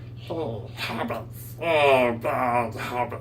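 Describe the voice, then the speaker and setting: A put-on character voice comes through with hissing over clear background noise. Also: man, medium pitch for a man. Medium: solo performance. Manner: frowning, hissing.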